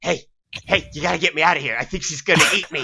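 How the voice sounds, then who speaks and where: Delivered at a very fast pace, this put-on character voice sits at a middle pitch. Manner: panicked, pleading.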